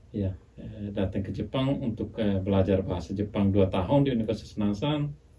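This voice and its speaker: A man speaks at a fairly quick pace. His fairly low voice carries ordinary pitch variation. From Indonesia, Flores (Bajawa). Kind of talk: podcast interview. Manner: hesitant, many fillers.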